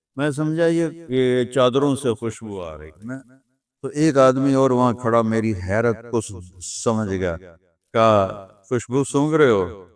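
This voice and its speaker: Speaking in a normal speaking voice, a man uses lively intonation at a medium pitch. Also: big swings in loudness. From Pakistan. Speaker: Islamic scholar. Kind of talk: religious lecture.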